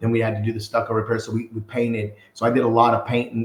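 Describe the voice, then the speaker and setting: Speaking very fast, a man keeps a medium pitch. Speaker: construction company owner. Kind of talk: podcast interview. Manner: loud; casual, animated.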